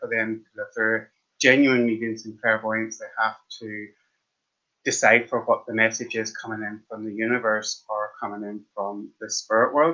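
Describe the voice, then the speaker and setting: Speaking in an Irish accent at a moderate pace, a man holds a medium pitch in a monotone, flat intonation. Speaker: tarot card reader. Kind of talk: live stream tarot reading. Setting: live stream. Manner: casual, chatty.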